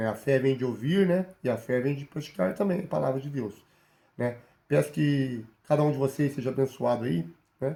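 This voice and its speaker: Speaking at a moderate pace, a man has a dark, mellow tone, a medium pitch and a somewhat breathy quality. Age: 40s. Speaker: bible teacher. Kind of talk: sermon. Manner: halting.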